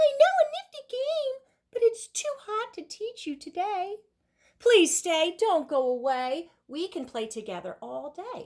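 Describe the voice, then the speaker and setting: Putting on a squeaky character voice, a woman pitches extremely high with very wide pitch swings. She speaks at a fairly slow pace, her loudness swinging widely. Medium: read story.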